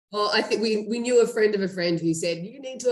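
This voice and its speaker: With an Australian accent, a woman talks at a very fast pace. Her intonation is lively. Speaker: startup co-founder and CEO. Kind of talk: interview.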